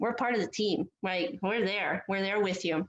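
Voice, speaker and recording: A woman speaks at a moderate pace. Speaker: air force senior NCO, cadre at cadet detachment. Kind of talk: motivational farewell talk to cadets. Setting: live podcast recording. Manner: loud; animated.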